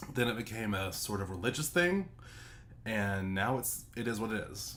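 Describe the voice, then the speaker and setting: Audible room echo surrounds a man's animated tone. His voice carries vocal fry and ordinary pitch variation. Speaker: streamer reacting to a video. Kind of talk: reaction commentary.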